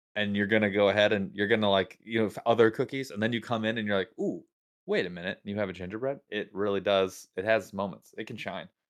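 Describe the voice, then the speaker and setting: A man's fairly low voice at a very fast pace, with fairly even intonation. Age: 40s. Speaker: podcast co-host. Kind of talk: casual chat.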